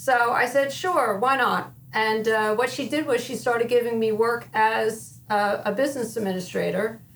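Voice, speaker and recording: A woman with an American accent, fairly high pitch and a moderate pace, over noticeable background noise. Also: ordinary pitch variation, hardly any pauses. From northern New Jersey (Wayne). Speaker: school business administrator. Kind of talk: interview.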